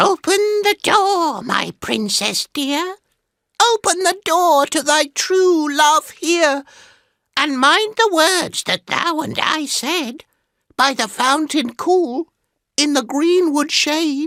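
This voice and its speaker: A put-on character voice, croaky and high-pitched, moves at a very slow pace with long, frequent pauses. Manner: coaxing, pleading.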